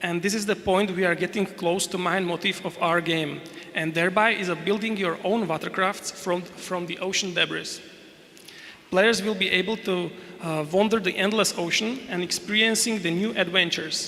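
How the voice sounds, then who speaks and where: In a Slovak accent, a man uses a raised, projected voice pitched high, with fairly even intonation. He keeps a moderate pace over noticeable background noise. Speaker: game developer. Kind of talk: conference presentation. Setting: stage with audience. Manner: reading aloud, halting.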